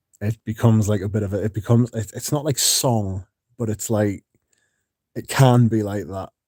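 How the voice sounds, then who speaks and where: A man speaks with a fairly low pitch and a dark, mellow tone. His intonation stays fairly even, and the sound is dry and close with no echo. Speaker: fragrance content creator. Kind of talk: livestream chat. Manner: deliberately slowed, careful pronunciation.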